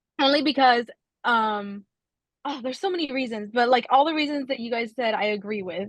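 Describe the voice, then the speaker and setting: A woman talks at a very fast pace in a fairly high pitch with ordinary pitch variation. The sound is dry and close, with no echo. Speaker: runner sharing a race experience. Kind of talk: casual podcast chat. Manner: halting.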